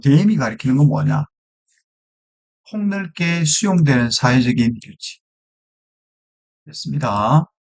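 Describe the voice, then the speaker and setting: Speaking at a very slow pace with long, frequent pauses, a man uses a fairly high pitch. His intonation is lively and his loudness swings widely. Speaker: English teacher. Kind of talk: lecture.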